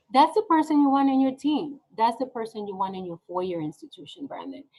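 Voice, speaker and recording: This woman talks fairly quickly in a high voice, her pitch swinging very widely. Her loudness also rises and falls in big swings. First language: not English (ESL learner). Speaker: nonprofit executive director. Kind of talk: interview. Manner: animated.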